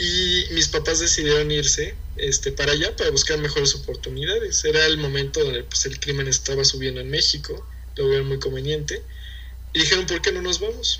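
A man talks at a fairly quick pace. The audio carries audible room echo and noticeable background noise. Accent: Mexican. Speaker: university student and entrepreneur. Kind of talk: casual interview chat.

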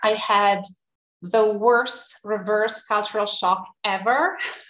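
With an Italian accent, a woman speaks at a very slow pace. Her pitch is medium. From Italy, Tuscany. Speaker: university counselor. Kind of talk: interview. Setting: video call.

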